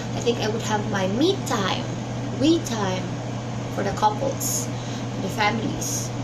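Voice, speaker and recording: Over loud background noise, a woman with a Filipino accent speaks with long, frequent pauses. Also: fairly slow pace. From Philippines. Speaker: vlogger. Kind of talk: casual vlog monologue. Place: home room. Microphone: webcam.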